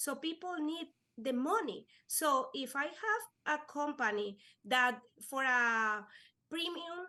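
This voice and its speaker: Her voice raised and projected, a woman speaks at a very slow pace with long, frequent pauses, a high pitch and a bright, sharp tone. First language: Spanish. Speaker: life insurance agent. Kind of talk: podcast interview. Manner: halting.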